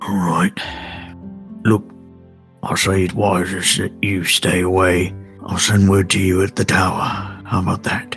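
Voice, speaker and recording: A man's put-on character voice, very deep and low, at a moderate pace over clear music in the background. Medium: actual play. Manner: dry, clipped, proper.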